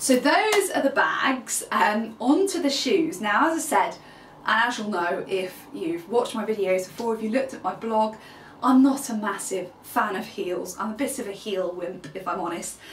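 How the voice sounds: With lively intonation and few pauses, a woman talks at a moderate pace amid audible room echo. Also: medium pitch for a woman.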